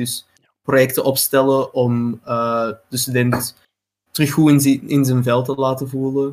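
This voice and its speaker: A man's very slow speech with a Flemish accent. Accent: Flemish Dutch. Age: 20s. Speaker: student association vice president. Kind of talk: casual chat.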